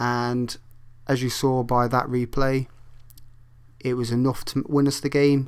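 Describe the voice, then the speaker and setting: The speaking moves at a moderate pace. The voice is a plain, everyday voice. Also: man. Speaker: gaming video creator. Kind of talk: gameplay commentary tutorial.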